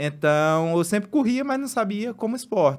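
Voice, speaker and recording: A man's intonation is lively while he keeps to a fairly slow pace. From Brazil, Pernambuco interior; Pernambuco, Brazil. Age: 30s. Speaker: marathon runner; guest. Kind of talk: casual chat. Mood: relaxed, smiling, animated. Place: studio. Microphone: studio mic.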